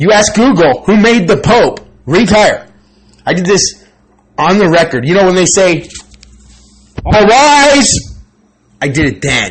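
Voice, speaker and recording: A man speaks loudly and at a fairly slow pace, with long, frequent pauses. His high voice has an animated tone and very wide pitch swings. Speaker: channel owner vlogger. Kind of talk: personal monologue.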